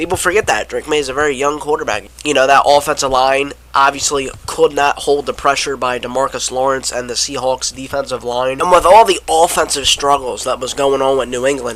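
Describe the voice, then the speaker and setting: A man's fairly high voice with an American accent amid noticeable background noise. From Philadelphia area, US. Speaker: sports YouTuber. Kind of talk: casual sports commentary vlog. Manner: rambling with repeated stutters.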